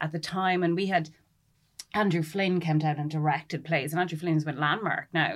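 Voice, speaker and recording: In a rural Irish accent, a woman with a fairly low pitch speaks at a fairly quick pace. The recording is very clean, with a silent background. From rural Ireland. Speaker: literature lecturer. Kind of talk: panel discussion. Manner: animated.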